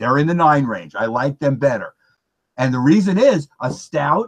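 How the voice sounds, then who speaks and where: In a normal speaking voice, a man with a fairly high pitch and lively intonation speaks at a fairly slow pace, the sound dry and close with no echo. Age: 60s. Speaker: beer reviewer. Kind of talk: casual chat.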